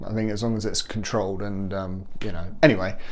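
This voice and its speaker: A man speaks with a British accent and fairly even intonation. Room echo can be heard. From UK, working-class council estate area. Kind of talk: personal testimony monologue. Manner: hesitant, many fillers and repetitions.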